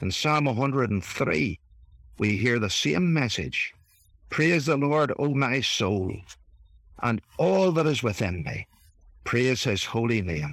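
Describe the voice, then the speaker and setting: In an Irish accent with vocal fry, the voice moves at a very slow pace through very wide pitch swings and long, frequent pauses. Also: man, medium pitch for a man. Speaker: reverend. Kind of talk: reflective talk.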